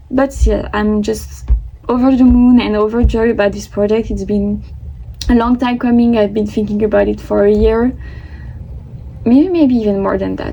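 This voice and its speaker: A woman speaks at a moderate pace, with long, frequent pauses. Noticeable background noise runs behind her. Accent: French. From France. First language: French. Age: 20s. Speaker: vlogger. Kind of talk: casual vlog monologue.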